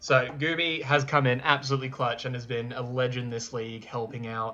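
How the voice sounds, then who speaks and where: Over noticeable background noise, a man with an Australian accent talks at a fairly quick pace and medium pitch, with fairly even intonation. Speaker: gaming youtuber. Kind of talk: casual gameplay recap monologue. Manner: casual, with fillers.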